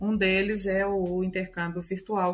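A woman's medium-pitched voice at a fairly slow pace, on a very clean recording with a silent background. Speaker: university international relations advisor, professor. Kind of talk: interview. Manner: hesitant, with fillers.

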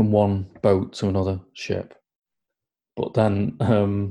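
A man's voice has a dark, mellow tone, a fairly low pitch and a somewhat breathy quality. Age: 40s. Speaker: podcast co-host. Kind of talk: casual chat.

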